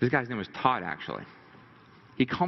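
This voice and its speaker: Vocal fry marks this man's medium-pitched voice. He speaks at a very fast pace. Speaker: motivational speaker. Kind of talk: seminar talk. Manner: animated.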